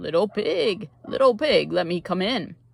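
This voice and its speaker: Putting on a character voice, a man speaks at a high pitch and moderate pace. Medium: read story.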